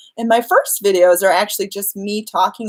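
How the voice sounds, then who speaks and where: Fairly even intonation from a woman at a medium pitch and a moderate pace. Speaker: law of attraction coach and YouTuber. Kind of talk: live stream Q&A. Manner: unscripted, natural speaking; casual with filler words.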